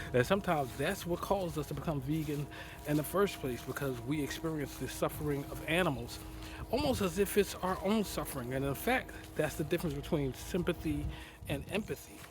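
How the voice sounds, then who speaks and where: Music plays behind a man talking at a fairly quick pace. His voice is fairly high, with ordinary pitch variation. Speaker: vlogger and broadcaster. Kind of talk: casual vlog monologue. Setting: outdoors in a garden. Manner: halting, with hesitations.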